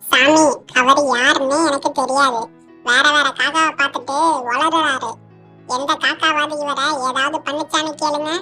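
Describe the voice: A cartoonish character voice, high-pitched and flat in a monotone, speaks at a fairly slow pace over faint background music.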